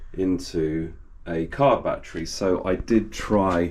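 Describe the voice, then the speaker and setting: In an English accent, a man with a very deep, low pitch speaks with fairly even intonation, and the room echo is audible. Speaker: DIY video creator. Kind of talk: tutorial. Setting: outdoors among garages. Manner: soft-spoken; halting, many fillers.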